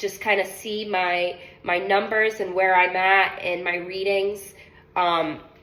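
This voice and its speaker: A woman's medium-pitched voice in a monotone, flat intonation, with noticeable background noise. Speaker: medical device sales rep. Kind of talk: sales pitch role-play.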